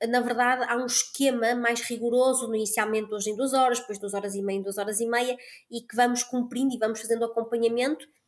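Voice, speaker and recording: The words come at a very fast pace. The intonation stays monotone and flat. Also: woman, fairly high pitch for a woman. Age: 30s. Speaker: family doctor. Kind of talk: interview.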